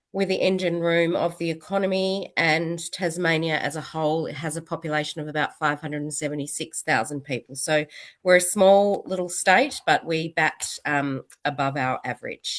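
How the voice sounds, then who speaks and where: Against a quiet background, a woman with an Australian accent talks at a moderate pace with fairly even intonation. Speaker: city council executive. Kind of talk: webinar presentation.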